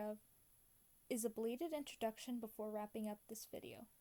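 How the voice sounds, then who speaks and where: Talking at a fairly quick pace, a woman has a fairly high pitch and a dark, mellow tone. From US, Mexican-American. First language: Spanish. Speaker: digital artist. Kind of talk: tutorial voiceover; casual self-introduction. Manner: casual, with fillers.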